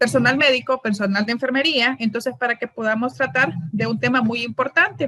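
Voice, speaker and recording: The recording is dry and close, with no echo. A woman talks high in pitch, her intonation fairly even. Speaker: gynecologist giving medical training. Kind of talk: lecture. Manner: fast.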